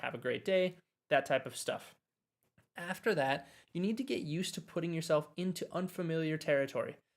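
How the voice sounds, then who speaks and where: The speaker talks at a fairly quick pace with an American accent and ordinary pitch variation. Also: man. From US Midwest, Wisconsin. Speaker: language teacher. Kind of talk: live stream chat. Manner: normal conversational pace.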